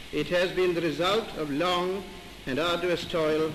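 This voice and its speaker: A man with a high-pitched voice speaks against noticeable background noise. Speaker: retiring High Commissioner for India. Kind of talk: formal reception speech, newsreel. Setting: 1947 newsreel recording.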